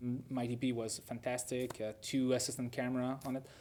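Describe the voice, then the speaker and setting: A dark, mellow tone at a moderate pace. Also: man. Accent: French Canadian. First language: French. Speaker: film director. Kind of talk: interview. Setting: film festival. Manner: halting, with many repetitions.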